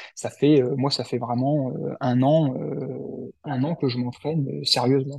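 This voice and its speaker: A man speaks with a dark, mellow tone, somewhat breathy, at a medium pitch with ordinary pitch variation. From central France, Cher. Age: 30s. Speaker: amateur ultra-runner, former bomb disposal soldier, entrepreneur. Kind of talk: interview. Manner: halting, many fillers and repetitions.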